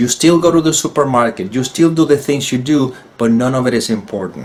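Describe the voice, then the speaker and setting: A man in a Spanish accent at a fairly quick pace, with ordinary pitch variation. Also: medium pitch for a man. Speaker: spiritual teacher. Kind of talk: solo talk video. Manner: halting.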